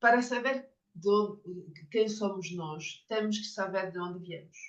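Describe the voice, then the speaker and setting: The woman speaks at a very slow pace with ordinary pitch variation. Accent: French. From France. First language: French (speaking Portuguese). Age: 50s. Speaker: Jungian psychotherapist and author. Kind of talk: lecture. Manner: halting, with many fillers.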